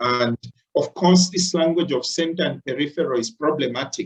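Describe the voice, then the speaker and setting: A man with a Zambian accent talks at a moderate pace with ordinary pitch variation. The sound is dry and close, with no echo. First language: Bemba. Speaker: lecturer. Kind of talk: lecture. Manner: halting, many fillers.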